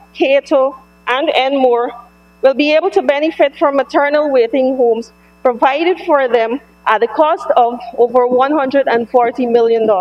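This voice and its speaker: With a Guyanese accent, a woman speaks at a fairly slow pace in a high pitch with fairly even intonation. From Guyana. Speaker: government member of parliament. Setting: parliament chamber. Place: hall. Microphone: podium.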